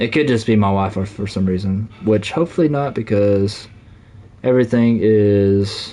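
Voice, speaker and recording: Speaking in a Southern US accent, a man has a fairly low pitch. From US South. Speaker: gaming streamer. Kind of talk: live gameplay stream chat. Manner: halting, lots of fillers.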